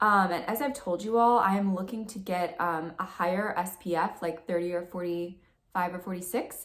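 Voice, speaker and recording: A woman speaks at a moderate pace with a medium pitch and fairly even intonation. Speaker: beauty and spiritual vlogger. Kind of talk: casual vlog talk.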